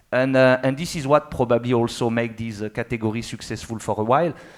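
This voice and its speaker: Here a man speaks in a French accent at medium pitch. His pace is fairly quick and his intonation fairly even. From France. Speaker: motorcycle industry executive. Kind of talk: panel discussion. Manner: halting, with many fillers.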